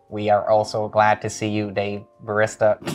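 This is a put-on character voice. A man performs it at a fairly low pitch. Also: moderate pace. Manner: playful, mocking.

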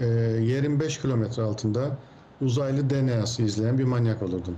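The recording has audible room echo around a man's medium-pitched voice. He keeps a moderate pace with ordinary pitch variation. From Cyprus. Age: 40s. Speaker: technology expert. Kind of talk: interview.

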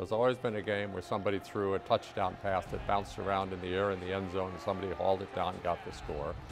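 A man talks at a very fast pace with fairly even intonation. Clear music plays in the background. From United States. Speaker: veteran college football radio play-by-play announcer. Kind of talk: interview answer, reflective reminiscing. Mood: warm, nostalgic. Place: office. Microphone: lapel.

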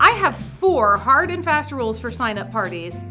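With clear music in the background, a woman speaks in an upbeat, enthusiastic tone. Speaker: auctioneer and auction consultant host. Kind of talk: instructional presentation to camera. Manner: upbeat, friendly, enthusiastic. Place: studio. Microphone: lapel.

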